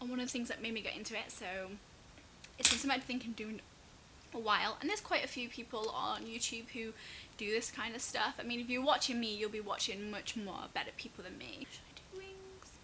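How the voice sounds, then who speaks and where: Through noticeable background noise, a woman with an English accent talks at a very fast pace and a fairly high pitch with lively intonation. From Manchester, northern England. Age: 20s. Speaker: YouTuber. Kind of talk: casual chat. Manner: chatty.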